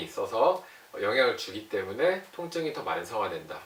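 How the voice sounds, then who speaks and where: The speaker is a man. Noticeable background noise and audible room echo surround his voice. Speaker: doctor explaining health topics. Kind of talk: health explainer talk to camera.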